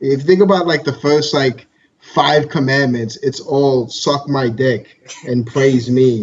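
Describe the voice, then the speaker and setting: A man with a New York accent at a fairly slow pace. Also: fairly high pitch for a man, ordinary pitch variation. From Brooklyn, New York. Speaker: podcast co-host. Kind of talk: casual chat.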